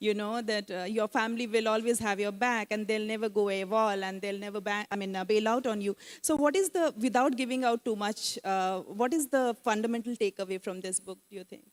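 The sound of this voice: A woman speaks at a fairly quick pace with few pauses and a medium pitch. Her intonation is fairly even, and the sound is dry and close with no echo.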